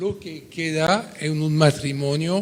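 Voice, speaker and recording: Noticeable background noise sits behind a man speaking at a very slow pace. His pitch is fairly high, his intonation fairly even. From France. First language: French (speaking Spanish). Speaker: audience member asking a question. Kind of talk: conference Q&A question. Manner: halting.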